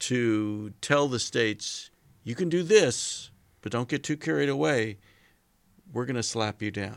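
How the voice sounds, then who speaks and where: On a very clean recording with a silent background, a man with an American accent speaks at a fairly slow pace and medium pitch. His intonation is lively, with long, frequent pauses. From California. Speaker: political scientist. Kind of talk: casual chat.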